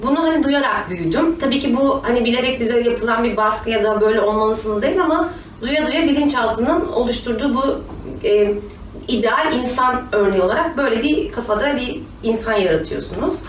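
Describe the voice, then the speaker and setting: With lively intonation and very even loudness, a high-pitched woman speaks amid noticeable background noise and audible room echo. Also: moderate pace. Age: 30s. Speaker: company manager, interviewee. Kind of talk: interview.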